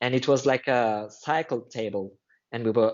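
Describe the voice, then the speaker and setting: A man's medium-pitched voice in a French accent, with fairly even intonation at a moderate pace. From France. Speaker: line dance instructor. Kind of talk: casual chat.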